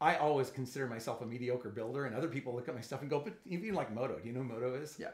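A man talks at a very fast pace at a medium pitch. His voice is somewhat breathy. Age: 60s. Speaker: YouTube channel host, Lego hobbyist. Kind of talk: casual interview. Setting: studio.

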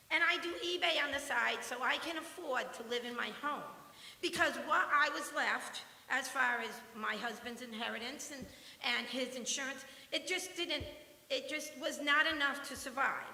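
A woman's raised, projected voice at a high pitch, with ordinary pitch variation and audible room echo. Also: moderate pace. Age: 60s. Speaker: retired resident speaking at public comment. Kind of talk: public comment at town meeting. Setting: town planning commission meeting.

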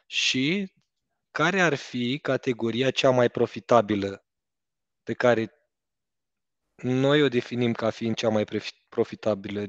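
Speech at a fairly slow pace with ordinary pitch variation sounds dry with no echo against a quiet background. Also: man. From Romania. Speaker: entrepreneur, driving school co-owner; guest. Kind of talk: casual chat. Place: office. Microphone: headset.

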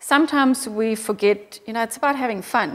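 A woman speaks with a German accent. Her fairly high pitch carries fairly even intonation. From Austria. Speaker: motorcycle company managing director. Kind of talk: interview. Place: office. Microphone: lapel.

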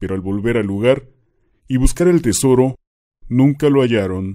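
A man with a dark, mellow tone speaks at a medium pitch and moderate pace with ordinary pitch variation. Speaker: horror legend narrator. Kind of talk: scripted ghost story narration.

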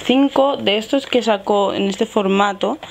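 With a plain, everyday voice, a woman speaks at a moderate pace with ordinary pitch variation over light background noise. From Spain. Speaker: beauty youtuber. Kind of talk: makeup tutorial. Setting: home filming setup with ring light. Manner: casual, chatty. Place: home room. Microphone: lapel.

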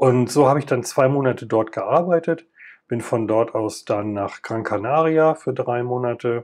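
An unremarkable speaking voice, a man's medium pitch holds ordinary pitch variation at a moderate pace. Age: 50s. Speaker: podcast host, former paramedic. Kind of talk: personal monologue.

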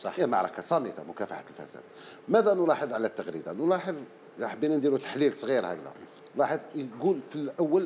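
The voice moves at a fairly quick pace with very wide pitch swings and big swings in loudness, over light background noise. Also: man, fairly high pitch for a man. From Algeria. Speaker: panelist, former civil servant; panelist. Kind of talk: TV panel discussion. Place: studio. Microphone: lapel.

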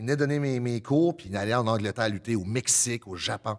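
The man speaks at a fairly quick pace with ordinary pitch variation. The background is quiet. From Acadian New Brunswick (Le Goulet). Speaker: professional wrestler, prison worker. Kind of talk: casual chat. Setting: stage with audience. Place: studio. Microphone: studio mic.

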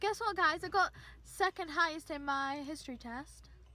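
A woman uses a raised, projected voice with a bright, sharp tone. The sound is dry, with no echo. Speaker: vlogger. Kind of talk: casual vlog chat. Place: car. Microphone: phone near.

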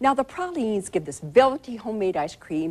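Her pitch swings very widely as the woman speaks at a moderate pace. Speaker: cooking show host. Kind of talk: TV presenter talk to camera. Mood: warm, animated. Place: studio. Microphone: lapel.

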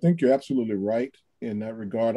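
Over a quiet background, a man talks at a very fast pace with a dark, mellow tone. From US South. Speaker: pastor. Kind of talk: panel discussion. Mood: earnest, reflective. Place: home room. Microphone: video call.

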